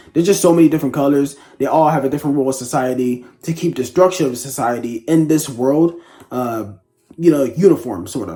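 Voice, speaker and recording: With music in the background, a quiet man talks very fast at a fairly high pitch with ordinary pitch variation. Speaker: book reviewer. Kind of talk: casual book review monologue. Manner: hesitant, many fillers.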